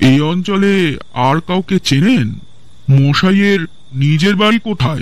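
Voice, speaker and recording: In a put-on character voice pitched high for a man, a man speaks at a fairly slow pace. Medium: audio drama. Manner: polite, deferential, probing.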